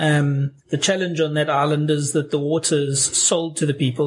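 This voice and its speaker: The voice is monotone, with flat intonation. It moves at a moderate pace. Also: man. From South Africa. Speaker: missionary. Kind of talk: interview.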